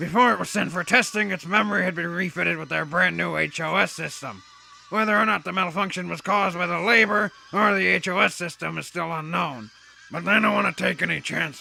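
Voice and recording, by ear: A cartoonish character voice from a man, high-pitched and at a fairly quick pace, faint music in the background.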